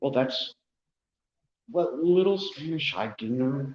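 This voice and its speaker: The speaker talks at a fairly slow pace, with very wide pitch swings. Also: man. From small farming community. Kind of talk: casual chat. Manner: loud.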